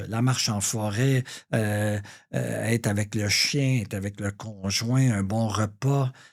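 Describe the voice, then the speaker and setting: Very slowly and with fairly even intonation, a man speaks at a fairly low pitch on a very clean recording with a silent background. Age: 60s. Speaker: real estate broker. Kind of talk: interview. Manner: hesitant, many fillers.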